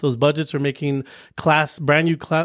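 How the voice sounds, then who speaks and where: In an American accent, a man speaks at a fairly high pitch and a fairly quick pace with monotone, flat intonation, on a very clean recording with a silent background and a dry, close sound with no echo. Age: 40s. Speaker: commercial real estate broker. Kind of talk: casual chat.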